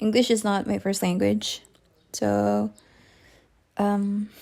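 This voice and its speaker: A woman speaks with a Filipino accent. Her pace is very slow. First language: Tagalog. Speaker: digital artist. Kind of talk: casual voiceover while drawing. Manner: halting, thinking aloud.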